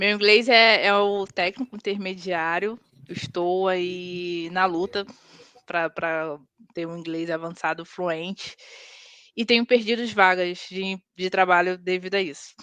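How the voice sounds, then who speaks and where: A woman speaks at a medium pitch with a bright, sharp tone. Her intonation stays fairly even, and her pace is fairly slow. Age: 30s. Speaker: tech team leader. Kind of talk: casual interview chat.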